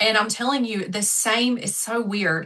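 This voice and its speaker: A woman's bright, sharp tone in a strong Southern US accent, at a moderate pace with ordinary pitch variation. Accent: thick Southern US. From US South, South Georgia. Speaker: manifestation coach. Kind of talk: podcast interview. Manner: animated.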